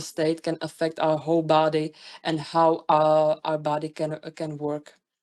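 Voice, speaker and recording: Against a quiet background, a woman with a non-native accent speaks at fairly low pitch and a moderate pace. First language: not English. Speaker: webinar presenter. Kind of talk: webinar presentation. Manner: halting, many fillers and restarts.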